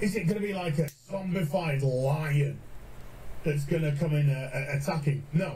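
A man with a British accent speaks at a moderate pace in a fairly high pitch, his tone dark and mellow and somewhat breathy, with ordinary pitch variation and long, frequent pauses. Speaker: gaming streamer. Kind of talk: casual commentary on a TV show. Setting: live stream. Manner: animated.

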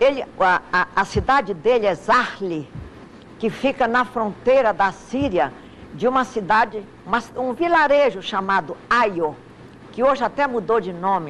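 Over noticeable background noise, a woman with a fairly high pitch speaks at a fairly slow pace, her pitch swinging very widely. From Amazonas, Brazil (Manacapuru, Coari, Manaus). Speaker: lawyer. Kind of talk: interview. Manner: halting.

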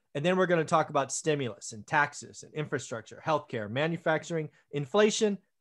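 With lively intonation, a man speaks at a moderate pace. Nothing much can be heard behind him. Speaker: channel host. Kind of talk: podcast discussion intro. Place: home room.

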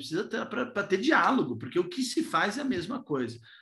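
The setting behind the voice is quiet. A man talks fairly quickly. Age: 20s. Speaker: politician. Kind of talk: talk to a virtual business breakfast. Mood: earnest, reflective. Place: home room. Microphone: video call.

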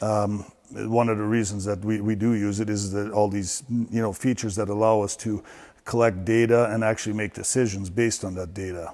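Against a quiet background, a man speaks at a fairly quick pace with a fairly low pitch, a dark, mellow tone and monotone, flat intonation. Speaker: barn equipment guide. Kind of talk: walk-through tour explanation. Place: farm machine. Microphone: lapel.

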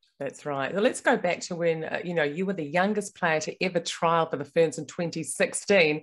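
Her pitch sits fairly low, and the woman talks with a New Zealand accent. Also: ordinary pitch variation, moderate pace. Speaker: podcast host. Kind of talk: interview.

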